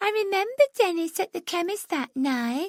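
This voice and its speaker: Extremely high-pitched speech in a put-on character voice. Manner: stupid-sounding, mocking.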